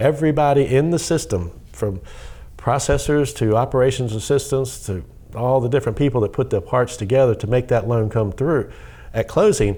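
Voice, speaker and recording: A man with a slight Southern US accent speaks at a fairly quick pace, his dark, mellow, somewhat breathy voice at medium pitch with ordinary pitch variation. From US South. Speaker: mortgage lender. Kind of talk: interview. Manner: fast when excited.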